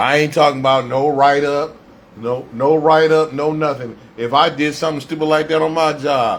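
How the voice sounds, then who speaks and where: Over noticeable background noise, a man with a fairly high voice talks at a moderate pace in a monotone, flat intonation. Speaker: radio host doing a solo livestream. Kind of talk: impromptu livestream rant. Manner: stuttering, repeating words; heated, emphatic.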